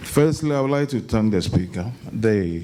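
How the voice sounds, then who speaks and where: Audible room echo surrounds a man with a fairly low pitch. He speaks at a moderate pace with ordinary pitch variation. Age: 80s+. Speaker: audience member, elder. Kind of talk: audience comment at public lecture.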